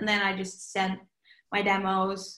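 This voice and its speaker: A woman speaks with a Norwegian accent. Her pitch is medium and her pace is moderate. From Norway. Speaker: pop singer. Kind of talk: casual interview. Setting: remote call from home.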